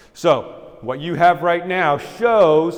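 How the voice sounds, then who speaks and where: A man talks with lively intonation. Behind him there is noticeable background noise. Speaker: local government expert presenter. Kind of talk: lecture. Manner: fast.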